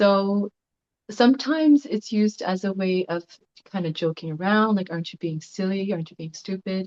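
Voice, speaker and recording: Soft-spoken and at a medium pitch, a woman talks at a moderate pace with ordinary pitch variation, in a dry, close sound with no echo. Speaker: class participant. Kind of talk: group discussion sharing.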